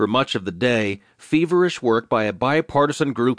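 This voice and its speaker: A man with an unremarkable speaking voice talks fairly quickly at a medium pitch, his intonation lively. The sound is dry and close with no echo, over a quiet background. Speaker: audiobook narrator reading newspaper digest. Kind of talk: formal news reading. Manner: formal, measured newsreader cadence; steady, even and authoritative.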